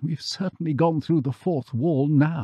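This man's voice sits at a fairly high pitch. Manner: muttering.

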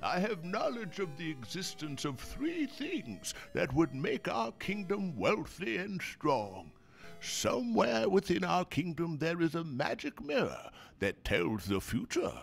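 Using a put-on character voice, a man speaks at a high pitch with very wide pitch swings and a fairly slow pace. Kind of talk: dramatic game cutscene reading. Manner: solemn, regal.

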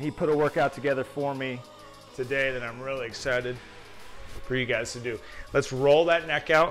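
Faint music sits in the background as a man speaks at a fairly quick pace with fairly even intonation. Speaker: strength coach. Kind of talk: workout instruction. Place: gym.

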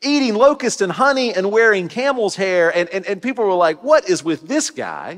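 Against a quiet background, a man with a high voice speaks at a moderate pace with hardly any pauses. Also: lively intonation. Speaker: Methodist pastor. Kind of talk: sermon. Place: church. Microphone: headset.

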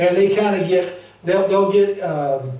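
Audible room echo surrounds a man talking at a high pitch and a moderate pace. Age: 60s. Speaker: pastor; preacher. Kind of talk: sermon. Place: church. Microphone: camera far.

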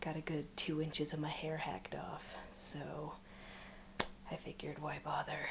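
At a moderate pace, a woman whispers. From United States. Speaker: vlogger. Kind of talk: casual vlog talk to camera. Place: home room. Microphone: webcam.

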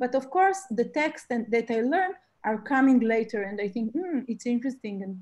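Lively intonation at a moderate pace in a Russian accent, over a quiet background. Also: woman. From Israel, Russian-born family. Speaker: painter; guest. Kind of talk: interview about her art. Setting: video call. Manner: halting, searching for words. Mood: thoughtful, reflective. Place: home room. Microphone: video call.

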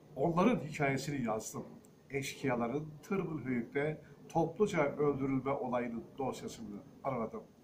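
Against noticeable background noise, a man talks at a fairly high pitch with lively intonation. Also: fairly slow pace. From Turkey, Kadirli (Osmaniye, Çukurova); Turkey. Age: 60s. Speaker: historian and author. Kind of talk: book presentation monologue. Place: home room. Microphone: phone near.

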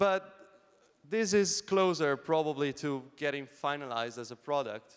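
With an ordinary speaking voice, a man talks at a moderate pace and a fairly high pitch, his intonation lively against a quiet background. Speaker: Android developer, conference speaker; conference speaker. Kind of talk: conference keynote. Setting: stage with audience. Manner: casual, many fillers. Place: hall.

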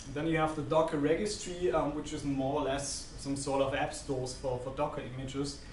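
A man's fairly high voice at a fairly quick pace, fairly even in intonation, with hardly any pauses, light background noise and audible room echo. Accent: German. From Germany. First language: German. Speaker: systems engineer; presenter. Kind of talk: conference talk. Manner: halting. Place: meeting room.

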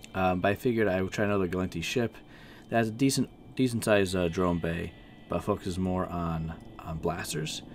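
Here a man speaks at a very deep, low pitch. His pace is fairly quick, with ordinary pitch variation. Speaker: gaming video host. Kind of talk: casual gameplay commentary. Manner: low energy.

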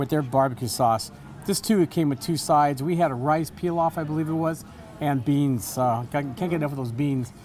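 The voice moves at a fairly quick pace with ordinary pitch variation over light background noise. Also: man. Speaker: food critic host. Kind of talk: restaurant review commentary. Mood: upbeat, enthusiastic. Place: cafe.

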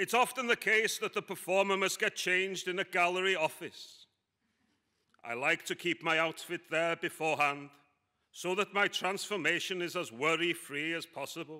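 In a quiet background, a man's high-pitched voice comes through with a bright, sharp tone. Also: ordinary pitch variation, moderate pace. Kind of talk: performance monologue reading. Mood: deadpan dark humour.

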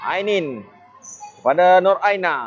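The speaker is a man with a Malaysian accent. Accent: Malaysian Malay. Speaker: futsal match commentator. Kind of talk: live sports commentary.

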